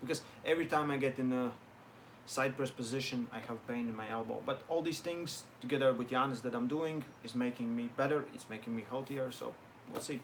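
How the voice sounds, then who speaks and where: This man has a non-native accent and a medium pitch. He talks at a fairly quick pace with fairly even intonation. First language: not English. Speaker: arm wrestler and online coach. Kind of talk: live stream Q&A. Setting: live stream. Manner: halting.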